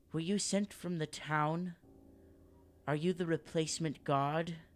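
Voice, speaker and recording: At a fairly slow pace, a man does a put-on character voice with a high pitch. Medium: actual play. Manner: questioning, distrustful.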